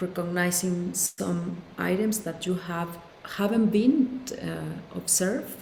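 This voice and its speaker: A woman speaks very slowly with a Spanish accent. Noticeable background noise runs underneath. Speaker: psychologist. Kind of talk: interview conversation.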